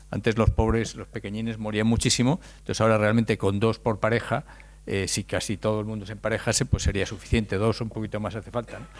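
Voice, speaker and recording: Speaking at a very fast pace, a man with a fairly low pitch and vocal fry keeps his intonation monotone and flat. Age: 60s. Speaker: speaker on demographics. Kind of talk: lecture. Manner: halting, with repetitions.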